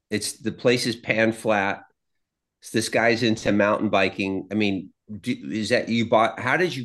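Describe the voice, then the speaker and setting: At a fairly slow pace with fairly even intonation, a normal speaking voice comes through over a quiet background. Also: man, medium pitch for a man. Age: 60s. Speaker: podcast co-host. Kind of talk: casual chat.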